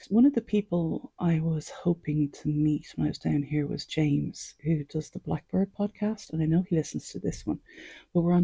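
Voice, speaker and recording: Dry and close with no echo, the voice has a dark, mellow, somewhat breathy tone and moves at a fairly quick pace. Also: woman. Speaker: archery podcaster. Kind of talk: casual monologue. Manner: quiet.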